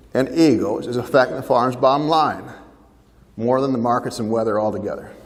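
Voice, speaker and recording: A man's medium-pitched speech, with ordinary pitch variation, comes through audible room echo. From Ontario, Canada. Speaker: farm family mediator and speaker. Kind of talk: keynote talk to a seminar audience.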